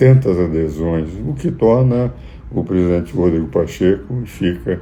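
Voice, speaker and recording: Speaking at a fairly slow pace, a man with a very deep, low voice uses lively intonation, with audible room echo and noticeable background noise. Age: 80s+. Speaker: jurist and political commentator. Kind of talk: political commentary.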